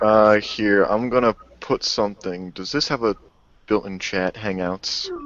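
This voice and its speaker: Speech with an American accent and noticeable noise in the background. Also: man, fairly low pitch for a man, fairly even intonation, fairly slow pace. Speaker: podcast co-host. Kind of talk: casual chat.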